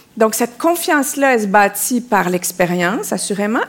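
Over noticeable background noise, a woman with a Quebec accent speaks at a fairly high pitch. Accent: Québécois. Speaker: women's leadership coach. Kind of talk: live panel talk. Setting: theatre stage with audience.

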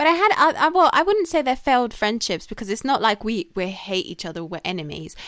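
A woman with a fairly high voice speaks at a fairly quick pace with hardly any pauses. Her pitch swings very widely and her loudness rises and falls sharply. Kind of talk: casual chat.

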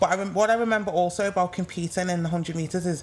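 Speaking in an English accent, a woman has a fairly low pitch. Her intonation is fairly even and her pace moderate. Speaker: retired sprinter. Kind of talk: casual chat. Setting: live in-person recording at sports venue.

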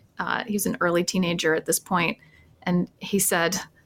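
Over noticeable background noise, a woman with an American accent speaks at medium pitch. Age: 50s. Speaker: history professor and podcast co-host. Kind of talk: casual interview chat.

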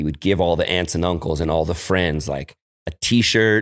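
With an American accent, a man speaks in a very deep, low pitch with ordinary pitch variation and a dry, close sound with no echo. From San Francisco, California. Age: 40s. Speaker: cannabis grower and brand owner. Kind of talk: casual chat. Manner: animated.

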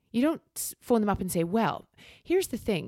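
A woman speaks in a Scottish accent with a dark, mellow tone and vocal fry. The recording is very clean with a silent background, and the sound is dry and close with no echo. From Scotland. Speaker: sports event commentator. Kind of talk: casual chat; live commentary.

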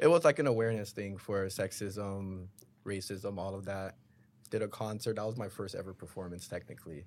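With a Toronto accent, a man talks at a fairly quick pace in a fairly low pitch, ordinary pitch variation and big swings in loudness. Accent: Toronto-area Canadian English. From Canada, Brampton, Ontario. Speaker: rapper and producer. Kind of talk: casual interview.

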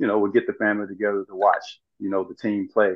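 Here is a man with a fairly low pitch and a Southern US accent. He talks at a fairly quick pace. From US South, rural Arkansas. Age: 40s. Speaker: former pro basketball player and motivational speaker. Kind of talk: interview.

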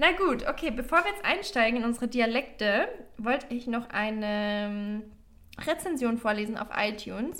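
A woman speaks in a normal speaking voice at a moderate pace. Her fairly high pitch carries lively intonation. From Bavaria, Germany. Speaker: podcast co-host. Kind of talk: casual chat; reading aloud.

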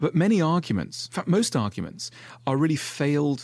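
A man at a fairly quick pace on a very clean recording with a silent background. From Switzerland. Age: 40s. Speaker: author. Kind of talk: casual chat.

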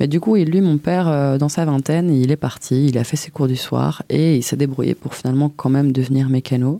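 A woman's very deep, low voice, dark and mellow in tone, with ordinary pitch variation. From Belgium, Brussels. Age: 20s. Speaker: interviewee sharing personal story. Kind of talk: testimony.

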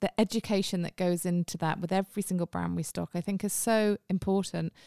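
A woman with a British accent, medium pitch, monotone, flat intonation and a fairly quick pace, in a dry, close sound with no echo. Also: very clean recording, silent background. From England. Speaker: podcast host, marketing executive. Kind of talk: casual chat. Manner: chatty.

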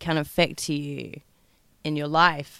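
A woman with a very deep, low voice and an English accent, on a very clean recording with a silent background. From England. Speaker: podcast host. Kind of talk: monologue. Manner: sing-songy; animated.

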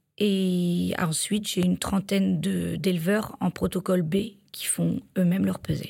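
The recording is very clean and the background silent. In it, a woman talks at a fairly slow pace. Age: 30s. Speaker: livestock milk-weighing technician. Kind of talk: interview. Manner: hesitant, with fillers.

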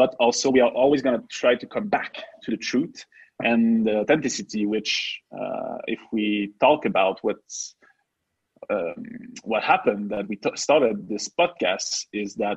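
A man in a French accent at medium pitch, fairly slow pace and lively intonation, with a dry, close sound and no echo. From Quebec. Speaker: podcast co-host. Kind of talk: casual chat.

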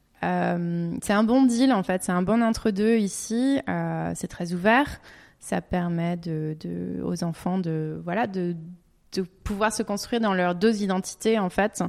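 A woman's medium-pitched voice with ordinary pitch variation at a very slow pace. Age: 30s. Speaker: naturopathy consultant. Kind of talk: interview.

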